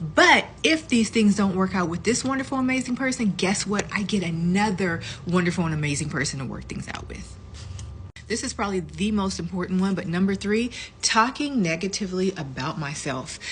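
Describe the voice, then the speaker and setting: Fairly quick and lively in intonation, a woman speaks at a medium pitch. It is an ordinary speaking voice. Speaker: lifestyle vlogger. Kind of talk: casual advice talk.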